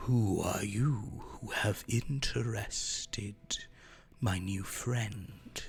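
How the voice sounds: A man puts on a creaky character voice at a medium pitch. He speaks at a very slow pace over light background noise.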